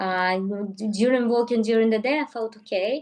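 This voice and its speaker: Speaking at a moderate pace with a Russian accent, a woman uses a fairly high pitch and ordinary pitch variation. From Russia, Moscow. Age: 30s. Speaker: travel YouTuber. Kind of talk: live stream interview.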